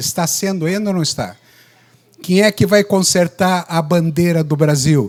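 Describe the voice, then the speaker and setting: Pitch shows ordinary variation. The words move at a moderate pace. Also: man. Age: 60s. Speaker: obstetrician. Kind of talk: lecture. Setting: stage with audience.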